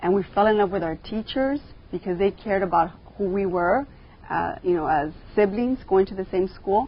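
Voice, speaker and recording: A woman with a Californian accent talks with ordinary pitch variation. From Los Angeles, San Fernando Valley (Pacoima). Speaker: school board member. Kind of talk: interview. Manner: hesitant, many fillers.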